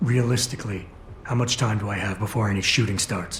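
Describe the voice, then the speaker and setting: A man's raspy, put-on character voice with a fairly low pitch, fairly even intonation and a fairly quick pace, over clear background noise. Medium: video game. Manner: terse, low-key.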